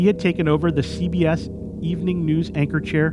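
Over noticeable background noise, a man with a fairly high pitch speaks at a fairly quick pace. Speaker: podcast host. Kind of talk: scripted narration. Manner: formal; measured.

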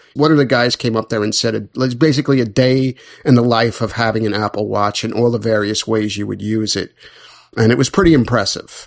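In a normal speaking voice, a man talks at medium pitch and a fairly quick pace with ordinary pitch variation. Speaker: podcast co-host. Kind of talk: casual chat.

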